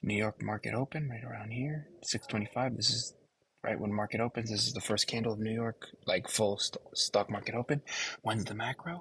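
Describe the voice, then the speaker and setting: His pitch sits in the medium range. This man moves through his words at a fairly quick pace. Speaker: forex trading content creator. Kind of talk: trading tutorial vlog. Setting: library. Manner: animated, fast; trying to keep voice down. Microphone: laptop mic.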